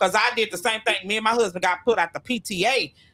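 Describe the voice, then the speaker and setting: A woman with an American accent, animated in tone, at a fairly quick pace. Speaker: radio show co-host. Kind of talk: casual chat. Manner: loud.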